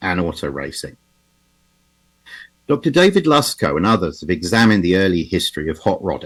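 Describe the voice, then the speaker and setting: Very deep and low, the man speaks in an English accent. His pitch swings very widely. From England. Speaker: automotive historian. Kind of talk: lecture. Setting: video call.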